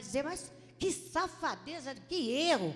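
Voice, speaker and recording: A woman's intonation is lively, and music plays in the background. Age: 60s. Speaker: congregation member. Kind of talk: testimony. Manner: halting.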